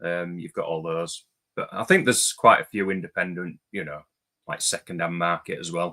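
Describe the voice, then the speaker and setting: In a dry, close recording with no echo, a man with a very deep, low pitch and a bright, sharp tone speaks with fairly even intonation. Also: moderate pace, big swings in loudness. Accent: English. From England. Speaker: movie YouTuber. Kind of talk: casual chat.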